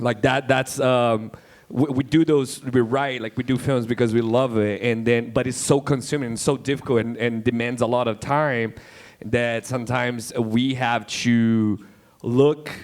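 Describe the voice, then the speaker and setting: The speaker has a Brazilian accent and talks at a moderate pace with monotone, flat intonation. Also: man, medium pitch for a man. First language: Portuguese. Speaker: independent filmmaker. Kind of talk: panel discussion. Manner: halting, many repetitions and fillers.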